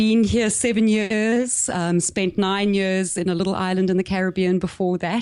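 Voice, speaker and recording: With a South African accent, a woman talks at a medium pitch with fairly even intonation. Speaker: business coach. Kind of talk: podcast interview.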